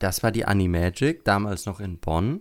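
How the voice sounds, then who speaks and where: This is a man's voice. His pitch is fairly low. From Germany, Lower Franconia (Würzburg area). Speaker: podcast host. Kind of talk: casual chat.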